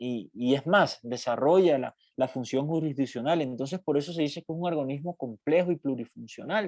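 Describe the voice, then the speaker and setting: The speech runs at a moderate pace with hardly any pauses and ordinary pitch variation, recorded dry and close with no echo over a quiet background. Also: man, fairly high pitch for a man. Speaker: university law professor. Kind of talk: lecture. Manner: halting, many fillers.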